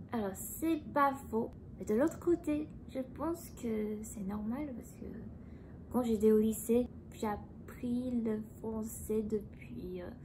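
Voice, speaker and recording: A woman speaks at a very slow pace in a medium pitch. Her pitch varies an ordinary amount. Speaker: YouTuber. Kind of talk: casual chat. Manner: calm.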